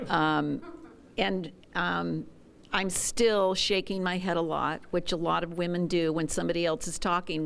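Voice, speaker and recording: A fairly low-pitched woman at a moderate pace, with fairly even intonation. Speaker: workshop participant. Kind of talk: group discussion sharing.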